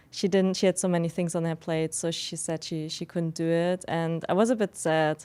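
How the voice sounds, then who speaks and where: At a moderate pace, a woman with a non-native accent speaks in a fairly low pitch with a dark, mellow tone and fairly even intonation. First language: not English. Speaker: podcast host. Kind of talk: unscripted solo podcast talk. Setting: studio.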